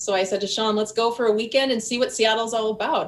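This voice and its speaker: With an American accent, a woman talks at a very fast pace using fairly even intonation. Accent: Wisconsin accent, trying to lose it. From US Midwest, Milwaukee, Wisconsin. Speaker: boating YouTuber. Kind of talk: casual interview chat.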